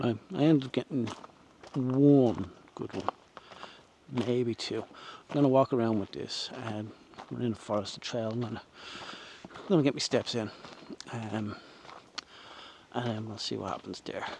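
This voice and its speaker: A man with a Dublin accent speaks at a moderate pace with ordinary pitch variation and big swings in loudness. He takes long, frequent pauses over noticeable background noise. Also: medium pitch for a man. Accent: Dublin Irish. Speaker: photography vlogger. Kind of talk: casual vlog narration outdoors. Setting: outdoors, walking trail by reservoir.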